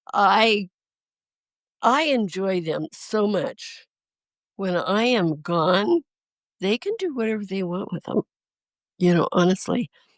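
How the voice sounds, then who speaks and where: A woman's lively, very slow speech with long, frequent pauses and a dry, close sound with no echo. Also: medium pitch for a woman. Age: 80s+. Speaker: quilt historian and appraiser. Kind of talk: casual interview.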